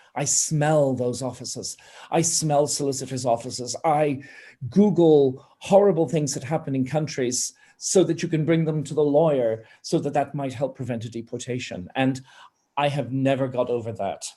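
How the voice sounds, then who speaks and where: A man speaks at a moderate pace with a fairly high pitch and ordinary pitch variation. His tone is dark, mellow and somewhat breathy. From Ireland. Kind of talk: panel discussion. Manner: impassioned.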